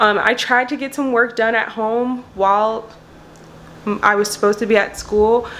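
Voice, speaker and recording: There is noticeable background noise as a woman talks in a fairly high voice with monotone, flat intonation. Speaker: law student vlogger. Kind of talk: casual vlog. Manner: fast.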